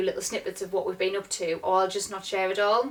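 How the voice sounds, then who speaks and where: A woman with a northeast English accent speaks at a medium pitch with monotone, flat intonation over noticeable background noise. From northeast England, near Durham. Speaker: vlogger. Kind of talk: casual Q&A vlog.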